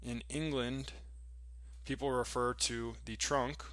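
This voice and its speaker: This is a man talking in an American accent. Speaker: English teacher. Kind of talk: reading aloud.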